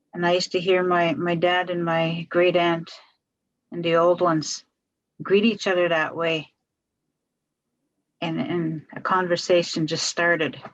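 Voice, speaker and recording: A woman speaks slowly and flatly in a monotone at a fairly low pitch. Her speech has long, frequent pauses. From Wiikwemikoong Unceded Territory, Manitoulin Island, Ontario, Canada. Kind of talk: storytelling talk in a talking circle. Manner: slow, reflective.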